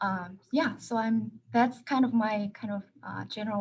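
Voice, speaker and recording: At a moderate pace, a woman speaks with a Korean accent. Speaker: professor. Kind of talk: panel discussion.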